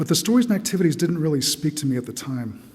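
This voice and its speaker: Dark and mellow in tone, a man's fairly high voice moves at a very fast pace with audible room echo. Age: 60s. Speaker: church member giving testimony. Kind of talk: testimony. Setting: church.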